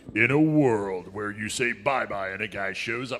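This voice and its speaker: A man performs a put-on character voice. He talks at a moderate pace and a medium pitch. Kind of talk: dramatic trailer narration.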